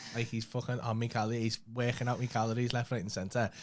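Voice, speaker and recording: The recording is very clean, with a silent background. A man talks with a Liverpool accent. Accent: Scouse. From Liverpool, England. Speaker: comedian. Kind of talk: casual chat.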